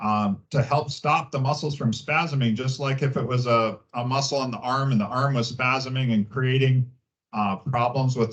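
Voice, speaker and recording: A somewhat breathy man at medium pitch, with fairly even intonation and a moderate pace. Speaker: gynecologist. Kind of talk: public health talk, Q&A. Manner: halting, many fillers.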